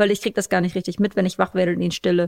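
In a very clean recording with a silent background and a dry, close sound with no echo, a woman talks at a very fast pace. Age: 30s. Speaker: podcast host and new mother. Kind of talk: casual chat.

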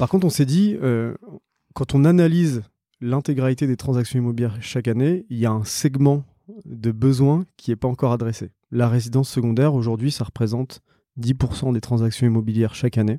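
At a fairly quick pace, a man with a medium-pitched, dark, mellow tone speaks with ordinary pitch variation on a very clean recording with a silent background. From Réunion. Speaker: startup co-founder. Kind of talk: interview.

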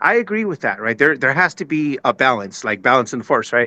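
With an American accent, a man talks in a fairly high pitch with very wide pitch swings and a bright, sharp tone, in a dry, close sound with no echo. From San Jose, California. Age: 40s. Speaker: caller. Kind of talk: casual chat. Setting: video call.

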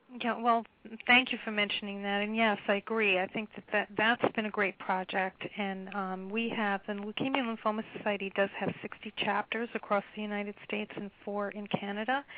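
With an American accent, the speaker talks in a monotone, flat intonation with hardly any pauses over noticeable background noise. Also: woman, medium pitch for a woman, moderate pace. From New York. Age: 50s. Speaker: patient services executive. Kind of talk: interview.

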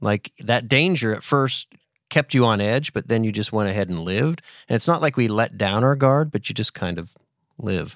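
A plain, everyday voice with an American accent speaks at a moderate pace with lively intonation on a very clean recording with a silent background. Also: man, medium pitch for a man, dry, close sound with no echo. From Pennsylvania. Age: 50s. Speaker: podcast host. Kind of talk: casual chat.

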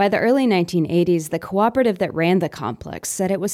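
In a very clean recording with a silent background, a woman talks at a fairly low pitch with a dark, mellow tone and lively intonation. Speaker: housing reporter. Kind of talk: scripted narration. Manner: soft-spoken.

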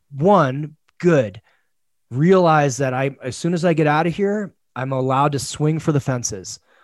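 A man with a normal speaking voice talks at a moderate pace and fairly high pitch, his intonation lively, on a very clean recording with a silent background. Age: 40s. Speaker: men's coach. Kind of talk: casual chat.

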